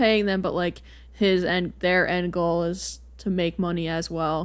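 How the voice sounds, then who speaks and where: Very clean recording, silent background, with a woman in an unremarkable speaking voice. Her pitch is fairly low, her intonation fairly even, and her pace fairly slow. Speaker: podcast co-host. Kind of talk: casual sports-talk podcast chat.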